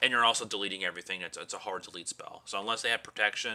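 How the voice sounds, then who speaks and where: A man talks at a very fast pace in a bright, sharp tone. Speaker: card game YouTuber. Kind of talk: deck profile tutorial. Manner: animated.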